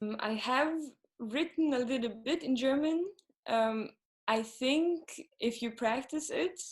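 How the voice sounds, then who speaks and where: Pitched high, a woman talks with ordinary pitch variation. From Sweden, Gothenburg. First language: Swedish. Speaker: singer-songwriter. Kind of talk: interview. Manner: halting, many fillers.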